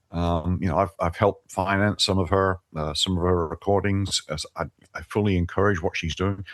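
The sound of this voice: Pitched low, a man talks at a fairly quick pace.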